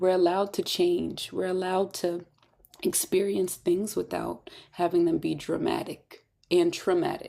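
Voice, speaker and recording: A woman speaks at a moderate pace. Her tone is calm. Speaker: spiritual self-help teacher. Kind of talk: live online masterclass. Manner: mellow, calm.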